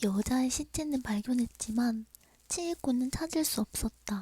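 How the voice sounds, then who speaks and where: The recording is dry and close, with no echo. A woman with a dark, mellow tone talks very slowly, her pitch varying in an ordinary way. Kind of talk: horror story narration, ASMR bedtime. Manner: soft, intimate, friendly.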